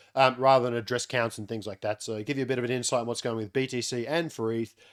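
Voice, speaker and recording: With an Australian accent, a man at medium pitch talks at a very fast pace in a very clean recording with a silent background. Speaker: crypto on-chain analyst. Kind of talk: market analysis update. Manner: casual, many filler words.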